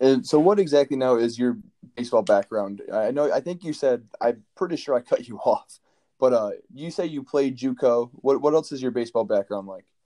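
A man with an American accent, fairly quick and lively in intonation, dark and mellow in tone, with a dry, close sound and no echo. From Michigan. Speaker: student podcast host. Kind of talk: casual interview; podcast intro/outro narration.

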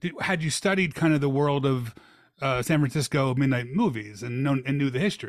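Speaking at a fairly quick pace, a man uses a fairly high pitch with ordinary variation. His loudness stays very even, and the recording is very clean with a silent background. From US Northeast, Philadelphia. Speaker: podcast host. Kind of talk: casual interview. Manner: halting, many fillers.

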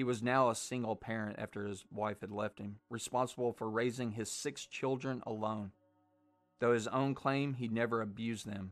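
With a Southern US accent, the speaker keeps a monotone, flat intonation at a moderate pace. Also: man, medium pitch for a man. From US South, Arkansas. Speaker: horror podcast host. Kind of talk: casual chat.

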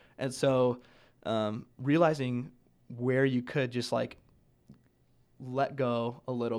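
A man with a medium pitch speaks in an American accent with monotone, flat intonation. The recording is very clean, with a silent background. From Nebraska. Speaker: college student. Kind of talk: casual chat.

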